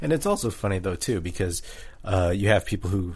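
This man's voice is very deep and low, and somewhat breathy. He talks at a fairly quick pace. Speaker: podcast host. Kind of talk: casual sports chat.

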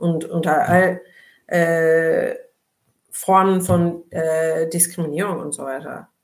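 A woman speaks at a very slow pace with long, frequent pauses, her fairly low pitch held in a monotone, flat intonation while her loudness swings widely and the room echo is audible. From Turkey. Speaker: labour sociologist. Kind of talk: casual chat.

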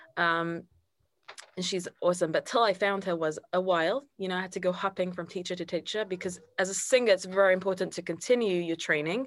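Talking at a very fast pace, a woman uses a British accent. Her pitch is medium and her intonation fairly even. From London, England. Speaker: singer and choir director. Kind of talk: interview conversation. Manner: casual, frequent fillers like 'like' and 'um'.

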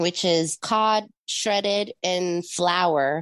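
Recorded dry and close with no echo against a quiet background, a woman speaks at a fairly low pitch with fairly even intonation. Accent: Spanish. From Puerto Rico and Jacksonville, Florida. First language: Spanish. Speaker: radio host and event producer. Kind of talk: casual interview chat.

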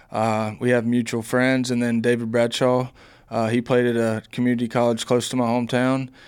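Keeping his loudness very even, a man talks fairly quickly. His pitch is medium and his intonation monotone and flat. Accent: Southern US. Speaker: baseball player. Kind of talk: interview.

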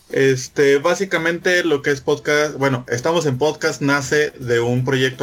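Ordinary pitch variation, a moderate pace and a fairly high pitch from a man. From Mexico. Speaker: podcaster guest. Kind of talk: casual chat.

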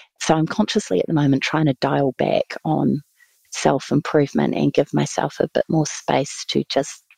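A woman's voice comes through with very even loudness and a dry, close sound with no echo. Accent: New Zealand. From New Zealand, Taranaki (near New Plymouth). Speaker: museum chief executive. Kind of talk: interview.

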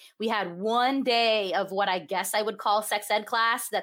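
A woman talks at a moderate pace and medium pitch in a normal speaking voice. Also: very clean recording, silent background. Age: 30s. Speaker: sex educator. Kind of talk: interview.

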